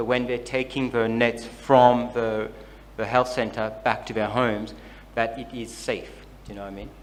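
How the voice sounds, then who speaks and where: Audible room echo surrounds a man with a medium pitch and monotone, flat intonation. His moderate-paced speech shows big swings in loudness. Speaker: workshop facilitator. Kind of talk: workshop discussion.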